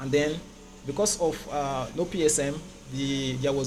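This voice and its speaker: A man with a fairly high pitch is heard through audible room echo and noticeable background noise. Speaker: safety engineer presenter. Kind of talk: technical presentation. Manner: fast; hesitant, many fillers.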